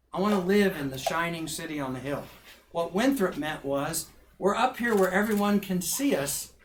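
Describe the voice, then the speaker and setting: Over noticeable background noise, a man speaks high in pitch with lively intonation. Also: moderate pace. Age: 60s. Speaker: minister and professor. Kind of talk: public talk Q&A.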